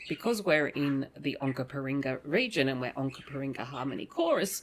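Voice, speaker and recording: A woman with an Australian accent, a very deep, low pitch and lively intonation. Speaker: academic podcast host. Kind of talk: casual academic discussion. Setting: studio table.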